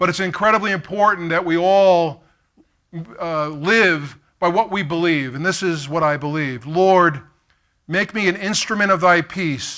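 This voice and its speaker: A man speaks in a high voice with a New York accent, his pitch rising and falling in an ordinary way. The recording is very clean, with a silent background. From Brooklyn, New York. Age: 50s. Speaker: keynote speaker. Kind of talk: keynote speech. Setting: stage with audience.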